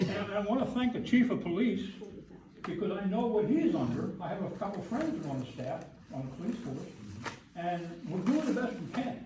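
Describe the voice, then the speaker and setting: Speaking at a moderate pace, a man uses a high pitch with very wide pitch swings. Audible room echo and noticeable background noise surround his voice. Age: 70s. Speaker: public commenter at council meeting, retired teacher. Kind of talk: public comment at town council meeting. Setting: council meeting room. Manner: animated.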